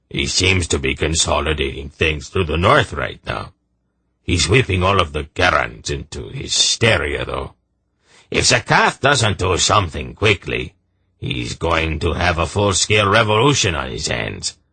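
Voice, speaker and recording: Against a quiet background, a man puts on a gruff character voice with a very deep, low pitch and very wide pitch swings, speaking at a moderate pace. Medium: read story. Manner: blunt, gruff.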